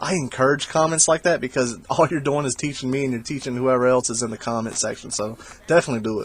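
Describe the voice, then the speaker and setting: A man talks at a very fast pace with a strong Southern US accent. His pitch is medium, with ordinary pitch variation. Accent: thick Southern US. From South Carolina. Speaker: video game reseller vlogger. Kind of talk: voiceover commentary on haul footage. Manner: casual, halting with many fillers.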